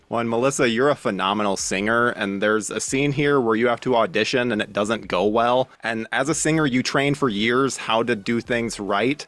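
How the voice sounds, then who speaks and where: A man's normal speaking voice at medium pitch and moderate pace, with hardly any pauses, very even loudness and ordinary pitch variation. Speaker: interviewer. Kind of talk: interview questions.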